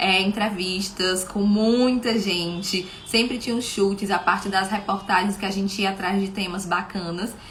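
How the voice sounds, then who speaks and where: Against noticeable background noise and audible room echo, a woman talks at a moderate pace in a medium pitch with fairly even intonation. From Brazil, Fortaleza, Ceará. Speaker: live show host. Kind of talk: live stream talk.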